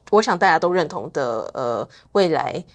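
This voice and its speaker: A woman with a fairly low pitch talks at a moderate pace in a plain, everyday voice. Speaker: think tank intern and researcher. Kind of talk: interview.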